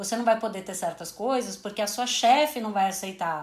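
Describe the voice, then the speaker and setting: This woman has an unremarkable speaking voice with a fairly high pitch. Her intonation stays fairly even. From Brazil, São Paulo. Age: 30s. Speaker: sports journalist and manager. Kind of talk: casual interview chat.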